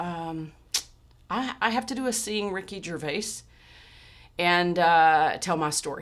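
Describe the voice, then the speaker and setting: A woman's fairly low voice in a Texan accent, fairly slow, with long, frequent pauses and ordinary pitch variation. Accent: Texan pronunciation of chemotherapy. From Texas. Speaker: podcast host. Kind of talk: personal storytelling monologue. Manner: casual with frequent fillers and repetitions.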